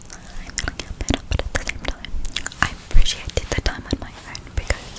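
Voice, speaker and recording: Whispering at a moderate pace over noticeable background noise. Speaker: ASMR creator. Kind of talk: ASMR whispered talk to camera. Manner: whispered.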